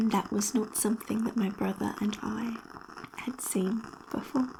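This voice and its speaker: A soft-spoken woman talks at a fairly slow pace with a fairly high pitch. Her intonation is fairly even, and there is noticeable background noise. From Australia. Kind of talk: ASMR personal story.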